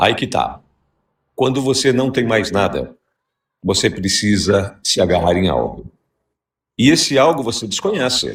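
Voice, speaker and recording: With long, frequent pauses, a man talks fairly slowly in a medium pitch with lively intonation. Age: 60s. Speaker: radio host. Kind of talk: heated debate.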